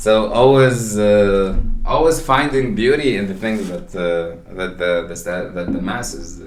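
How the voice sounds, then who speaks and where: A man's fairly low voice at a fairly slow pace, with big swings in loudness, audible room echo and noticeable background noise. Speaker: podcast co-host. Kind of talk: casual chat. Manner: halting, many repetitions and fillers.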